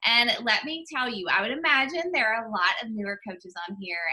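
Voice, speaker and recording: A woman with a Southern US accent speaks at a fairly high pitch with very wide pitch swings. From US South, Mississippi. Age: 30s. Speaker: health and fitness coach. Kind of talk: guest talk on team call.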